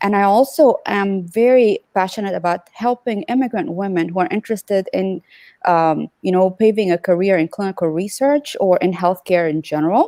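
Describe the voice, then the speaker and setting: A dark, mellow voice with an Arabic accent moves at a moderate pace with ordinary pitch variation and hardly any pauses. The very clean recording has a silent background and a dry, close sound with no echo. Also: woman, medium pitch for a woman. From Sudan. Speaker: physician and clinical research business owner. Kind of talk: panel interview, describing her work. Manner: many fillers, halting.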